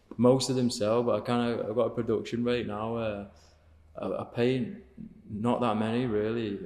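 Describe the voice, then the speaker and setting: A man speaks at a moderate pace with a northern English accent and a medium pitch. His intonation is fairly even, and the background is quiet. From northern England (Cheshire); northern England. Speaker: painter; guest. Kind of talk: casual interview chat. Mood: relaxed, reflective. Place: studio. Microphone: studio mic.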